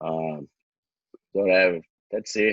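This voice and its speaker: A man speaks with a Brazilian accent. His pace is fairly slow. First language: Portuguese. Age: 20s. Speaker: jiu-jitsu champion. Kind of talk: podcast interview. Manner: halting.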